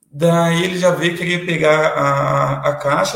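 A man with an ordinary speaking voice, fairly high in pitch with ordinary pitch variation. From Curitiba metro area, Paraná, Brazil. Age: 30s. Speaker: city councillor and lawyer. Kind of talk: interview.

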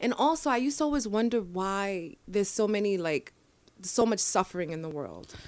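A woman with a New York accent speaks at a fairly quick pace in an animated tone, her medium pitch swinging very widely, on a very clean recording with a silent background. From New York, the Bronx. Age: 30s. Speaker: mental health advocate. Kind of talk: casual interview. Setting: studio.

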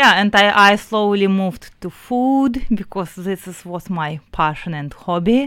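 With a Russian accent, a woman speaks at a very slow pace. Her intonation is lively on a very clean recording with a silent background. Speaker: business founder. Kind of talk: radio interview. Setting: radio studio.

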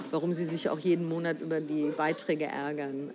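Over noticeable background noise, a woman speaks at a moderate pace in a very deep, low pitch with ordinary pitch variation. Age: 60s. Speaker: broadcasting council member. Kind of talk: interview. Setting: café in a train station.

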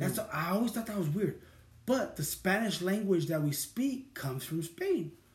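With an American accent, a man talks at a moderate pace in a high pitch and lively intonation over noticeable background noise. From Sacramento, California. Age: 30s. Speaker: podcast host. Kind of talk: casual chat.

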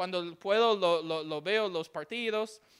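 On a very clean recording with a silent background, a man with an English accent speaks at a high pitch with ordinary pitch variation. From Texas, Houston. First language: English (speaking Spanish). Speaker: missionary preacher. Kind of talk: sermon. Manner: halting.

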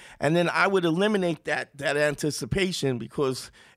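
On a very clean recording with a silent background, a man with a Brooklyn accent talks with a fairly high pitch and ordinary pitch variation. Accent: New York (Brooklyn). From Brooklyn, New York. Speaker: comedian. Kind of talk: casual chat.

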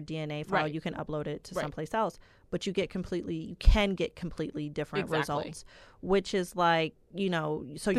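On a very clean recording with a silent background, a woman with a plain, everyday voice speaks at a fairly low pitch with fairly even intonation. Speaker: podcast host.

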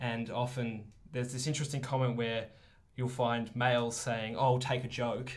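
Somewhat breathy and flat in a monotone, the voice carries an Australian accent, with audible room echo. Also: man, medium pitch for a man, moderate pace. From Australia, Melbourne. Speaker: teaching student. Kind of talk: casual chat.

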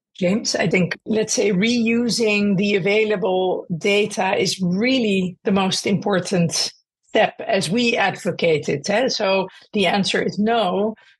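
A somewhat breathy woman speaks fairly slowly at a medium pitch, with ordinary pitch variation and very even loudness. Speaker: clinician researcher. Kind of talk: expert interview.

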